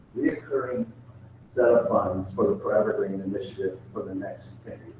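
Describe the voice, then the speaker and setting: A man's voice carries audible room echo. Noticeable background noise runs under it. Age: 60s. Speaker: professor. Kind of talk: Q&A answer in online meeting. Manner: halting.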